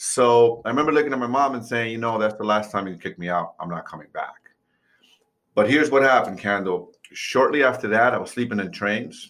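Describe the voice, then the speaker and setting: With an American accent, a man speaks at a fairly quick pace in an unremarkable speaking voice with a medium pitch. His pitch variation is ordinary, but his loudness swings widely. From New York City. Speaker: real estate investor and mindset coach. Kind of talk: interview.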